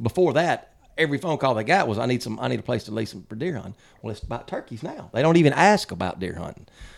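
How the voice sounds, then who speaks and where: In a Mississippi accent, a man talks with lively intonation. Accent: Southern US (Mississippi). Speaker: hunting podcast co-host. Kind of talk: casual chat.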